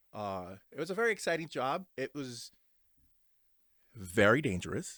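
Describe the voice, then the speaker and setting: A man at a moderate pace with lively intonation, on a very clean recording with a silent background. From New Jersey, mostly North Jersey (immigrated at seven). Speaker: podcast co-host. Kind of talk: casual chat. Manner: halting, many fillers.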